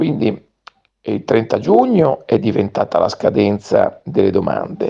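A man speaks at a very slow pace. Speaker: lawyer. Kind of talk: radio commentary. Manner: formal.

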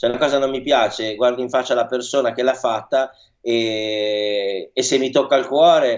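Using a plain, everyday voice, a man talks at a moderate pace and medium pitch with fairly even intonation. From northern Italy, Milan. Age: young. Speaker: chef. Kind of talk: radio interview.

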